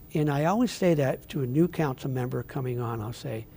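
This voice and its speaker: A man speaks with an American accent at a fairly quick pace, his pitch fairly high with ordinary variation. His tone is dark and mellow, and somewhat breathy. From northeastern Pennsylvania (Wilkes-Barre). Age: 70s. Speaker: city mayor. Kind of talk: interview.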